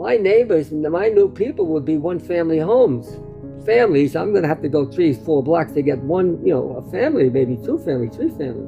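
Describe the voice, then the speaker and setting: With a New York accent, a man speaks at a fairly quick pace in a fairly high pitch, his pitch swinging very widely over music in the background. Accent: New York American. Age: 90s. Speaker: storyteller recounting family history. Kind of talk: oral family storytelling. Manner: halting with repetitions.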